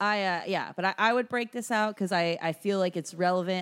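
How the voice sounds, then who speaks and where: With a normal speaking voice, a woman talks at a moderate pace with ordinary pitch variation. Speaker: movie podcast host. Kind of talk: casual chat, movie review podcast.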